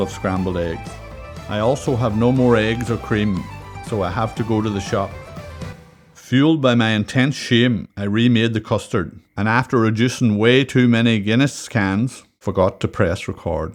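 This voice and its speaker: With a Donegal accent, a man speaks at medium pitch and a moderate pace with ordinary pitch variation, as music plays in the background. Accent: Donegal Irish. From Donegal, Ireland. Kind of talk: cooking video narration. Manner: wry, humorous.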